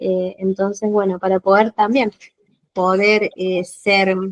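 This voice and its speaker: At a fairly slow pace, a woman talks at medium pitch, the sound dry and close with no echo. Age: 40s. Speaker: teacher and coach, course participant. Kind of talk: self-introduction in online class. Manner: hesitant, many fillers.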